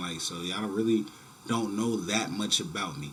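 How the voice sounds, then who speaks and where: Amid noticeable background noise and audible room echo, a man with an American accent and a fairly low pitch talks at a fairly quick pace in a relaxed tone with lively intonation. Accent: New York, people down south recognize it. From New York City, the Bronx. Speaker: YouTuber. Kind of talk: casual vlog talk to camera. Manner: casual, relaxed with many fillers.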